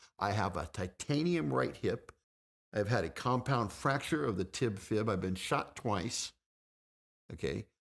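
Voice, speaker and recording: A man speaks at a fairly slow pace, with long, frequent pauses. His voice has vocal fry and very wide pitch swings. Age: 50s. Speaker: fitness guest. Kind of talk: casual chat. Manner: halting.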